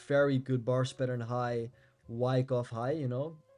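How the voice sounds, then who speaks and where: A man's dark, mellow voice with a Dutch accent, medium in pitch, flat and monotone, at a moderate pace. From Netherlands. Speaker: crypto trading YouTuber. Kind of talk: market analysis tutorial. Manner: casual, with fillers.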